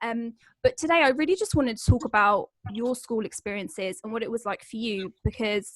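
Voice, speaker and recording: A woman speaks in an ordinary speaking voice, her pitch fairly high and her pace fairly quick. The sound is dry and close, with no echo. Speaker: podcast host. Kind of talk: podcast interview host.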